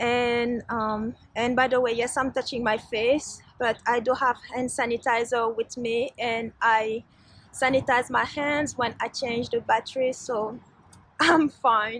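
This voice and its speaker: Talking at a fairly slow pace with a non-native accent, a woman keeps a high pitch in a monotone, flat delivery. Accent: foreign. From Switzerland. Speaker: vlogger. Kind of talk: casual vlog talk. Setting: outdoors in a garden.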